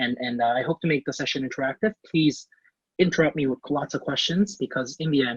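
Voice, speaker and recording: The sound is dry and close with no echo as a man talks fairly quickly in a fairly high, somewhat breathy voice. His pitch varies in an ordinary way. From Canada. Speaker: finance professional giving a career class. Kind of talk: online class presentation. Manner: halting, many fillers.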